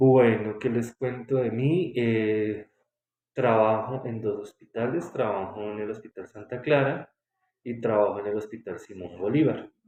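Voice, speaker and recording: At a fairly slow pace, a man talks in an ordinary speaking voice with a medium pitch and ordinary pitch variation. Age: 30s. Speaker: respiratory therapist. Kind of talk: interview.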